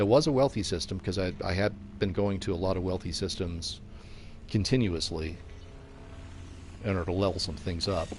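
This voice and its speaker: A man's very deep, low voice at a fairly quick pace, somewhat breathy, with ordinary pitch variation and long, frequent pauses. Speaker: video game streamer. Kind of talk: live gameplay commentary. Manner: constant chatter. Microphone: headphones with mic, new.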